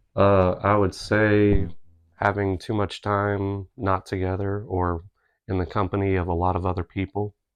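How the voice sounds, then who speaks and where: This man speaks quietly at a fairly slow pace, his fairly low voice flat and monotone. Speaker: podcast guest, host's husband. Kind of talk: casual interview. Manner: brief answers.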